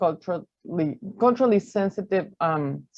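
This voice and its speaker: This is a woman speaking. Her pitch is fairly low. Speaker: early childhood program manager. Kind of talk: webinar presentation.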